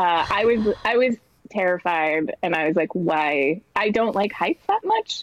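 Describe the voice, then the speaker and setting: A normal speaking voice with lively intonation goes at a fairly slow pace. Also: woman, medium pitch for a woman. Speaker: comedy writer. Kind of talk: casual chat.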